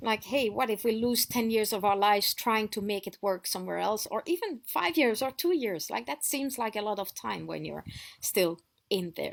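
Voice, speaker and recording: The intonation is lively and the pace moderate. It is a very clean recording with a silent background. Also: woman, fairly high pitch for a woman. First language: French. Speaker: off-grid lifestyle vlogger. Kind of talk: casual storytelling vlog. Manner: conversational with fillers and restarts.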